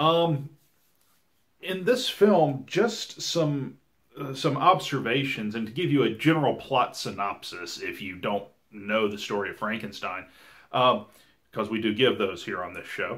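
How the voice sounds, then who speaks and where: With a Southern US accent, a man speaks at a fairly slow pace, his pitch swinging very widely and his loudness shifting in big swings. The background is quiet. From US South. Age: 30s. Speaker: podcast host. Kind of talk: casual podcast chat. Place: home room.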